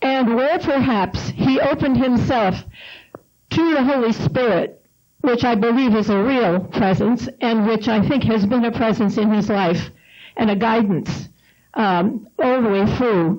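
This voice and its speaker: Keeping very even loudness, a woman with a plain, everyday voice and a fairly high pitch speaks at a fairly slow pace with ordinary pitch variation. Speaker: panelist, spouse of the author. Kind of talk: panel discussion talk.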